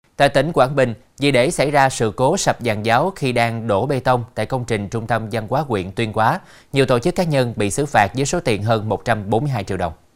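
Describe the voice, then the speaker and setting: On a very clean recording with a silent background, a man in an unremarkable speaking voice talks at a medium pitch and moderate pace, with ordinary pitch variation. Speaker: TV news anchor. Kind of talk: news reading. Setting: studio. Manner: formal.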